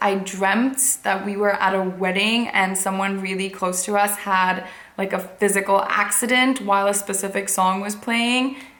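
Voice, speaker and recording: A woman's medium-pitched voice at a fairly slow pace, with fairly even intonation, hardly any pauses, audible room echo and noticeable background noise. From India, Mumbai. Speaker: fashion and lifestyle blogger. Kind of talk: casual chat to camera.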